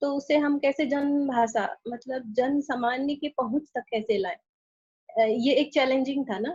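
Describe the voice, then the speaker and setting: A woman with a high voice speaks in a Chhattisgarh accent, her pitch varying normally. The sound is dry and close, with no echo. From Chhattisgarh, India. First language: Chhattisgarhi (speaking Hindi). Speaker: translator and author. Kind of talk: interview. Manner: halting, many fillers.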